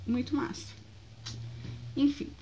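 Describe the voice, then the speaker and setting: A woman speaks at a moderate pace. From Brazil, Foz do Iguaçu (Paraná). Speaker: vlogger. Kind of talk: casual vlog, selling used books. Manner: loud.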